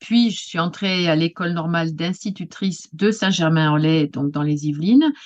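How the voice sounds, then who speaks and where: A woman with a fairly low pitch talks at a moderate pace with hardly any pauses. Her pitch varies in an ordinary way against a quiet background. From Paris region, France. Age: 60s. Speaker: retired teacher and writing workshop leader. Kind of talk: interview. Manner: halting, many hesitations.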